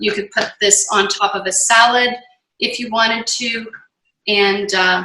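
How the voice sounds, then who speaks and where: Speaking at a moderate pace, a woman has a plain, everyday voice with ordinary pitch variation. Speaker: nutrition and yoga cancer coach. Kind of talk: online cooking class. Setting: home kitchen, video call.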